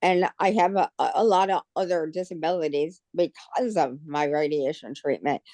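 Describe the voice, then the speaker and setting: A woman's fairly low, dark and mellow voice at a moderate pace, with ordinary pitch variation, very even loudness and hardly any pauses, the sound dry and close with no echo. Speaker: chapter member with hearing loss. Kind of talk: testimony. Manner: halting.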